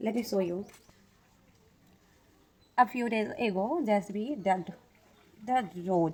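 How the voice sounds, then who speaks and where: A woman speaks with a non-native accent. Her pace is very slow and her pitch varies in an ordinary way. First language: not English. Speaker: English learner. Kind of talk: casual talk to camera. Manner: hesitant.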